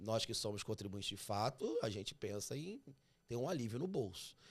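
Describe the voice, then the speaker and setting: Fairly low male voice with a slight Carioca accent at a moderate pace, on a very clean recording with a silent background. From Rio de Janeiro, Brazil. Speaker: tax podcast host. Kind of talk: interview.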